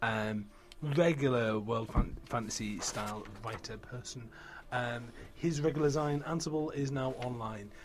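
A man's medium-pitched voice, with ordinary pitch variation, unfolds fairly slowly. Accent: British. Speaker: book podcast host. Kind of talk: casual chat. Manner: animated.

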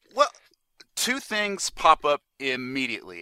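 A man speaks with an American accent. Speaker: podcast guest and listener. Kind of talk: casual chat. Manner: halting.

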